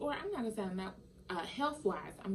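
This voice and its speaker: A woman talking at a fairly quick pace, amid audible room echo and noticeable background noise. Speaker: vegan lifestyle vlogger. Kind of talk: casual vlog monologue. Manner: careful enunciation; halting, many fillers.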